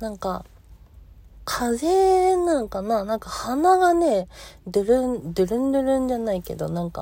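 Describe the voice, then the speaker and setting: A woman's fairly high, dark, mellow voice at a moderate pace, with very wide pitch swings and big swings in loudness. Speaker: solo podcaster. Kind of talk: solo talk, casual monologue. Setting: recording in a car in a parking lot. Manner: casual, chatty, halting with filler words.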